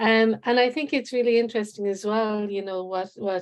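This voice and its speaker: The speaker has a Cork accent and a moderate pace. The background is quiet. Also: woman. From Ireland, Cork. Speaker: researcher. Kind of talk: conference presentation. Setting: conference session.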